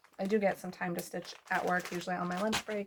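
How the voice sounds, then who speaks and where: There is a woman talking. Noticeable background noise accompanies the clip. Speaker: cross-stitch YouTuber and nurse practitioner. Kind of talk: casual vlog chat. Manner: hesitant, many fillers.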